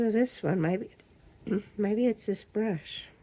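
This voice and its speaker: A somewhat breathy woman at a fairly slow pace, with ordinary pitch variation. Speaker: resin crafter. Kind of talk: crafting tutorial. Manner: halting.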